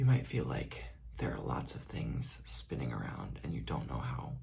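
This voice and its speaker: A soft-spoken man whispering at a moderate pace. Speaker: ASMR creator and graduate student on a dance team. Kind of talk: ASMR soft-spoken comforting talk to camera about anxiety. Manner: soft-spoken, whispering, reassuring.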